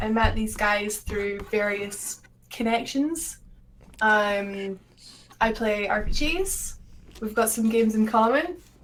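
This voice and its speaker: Amid audible room echo, a woman with a Scottish accent speaks at a very slow pace in a fairly high voice, with ordinary pitch variation and long, frequent pauses. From Scotland. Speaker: streamer and video editor. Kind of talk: casual chat. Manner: halting.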